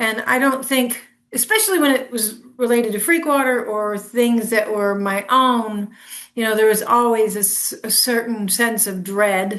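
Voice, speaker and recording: A woman with a plain, everyday voice and a fairly high pitch. She speaks at a moderate pace with ordinary pitch variation. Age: 60s. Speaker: musician. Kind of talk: casual chat.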